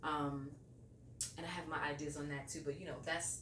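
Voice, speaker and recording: A woman with a very deep, low pitch talks at a fairly quick pace. Room echo is audible, and there is noticeable background noise. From New York. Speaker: radio host. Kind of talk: interview. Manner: casual, many fillers.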